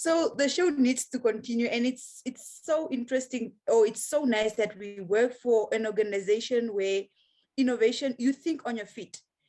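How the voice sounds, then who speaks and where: A high-pitched woman at a fairly quick pace, with ordinary pitch variation. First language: a local Namibian language. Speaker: outreach trainer and show co-host. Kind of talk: casual panel chat. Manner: halting, many fillers.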